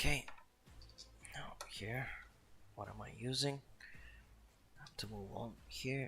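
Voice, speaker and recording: A man whispers very slowly with a non-native accent, leaving long, frequent pauses. Music plays behind him. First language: not English. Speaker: miniature painting streamer. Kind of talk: live stream painting commentary. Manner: casual, self-talk with hesitations.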